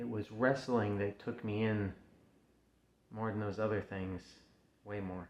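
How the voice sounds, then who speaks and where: A man with a fairly low voice speaks very slowly. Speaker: backyard wrestler. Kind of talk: personal promo speech to camera. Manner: halting, emotional, hesitant.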